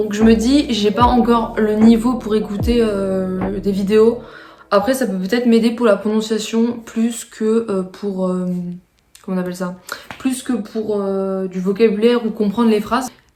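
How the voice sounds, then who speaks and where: The speaker is a woman with a fairly high pitch. She talks at a fairly slow pace with fairly even intonation. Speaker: student vlogger. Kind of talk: casual vlog talk. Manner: hesitant, many fillers.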